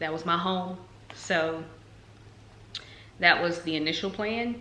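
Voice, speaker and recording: Audible room echo and noticeable background noise surround a woman with an American accent. She speaks at a fairly slow pace with fairly even intonation. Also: fairly low pitch for a woman. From North Carolina. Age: 20s. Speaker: nursing student vlogger. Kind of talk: casual vlog talk. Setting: talking to camera at home. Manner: casual, many fillers.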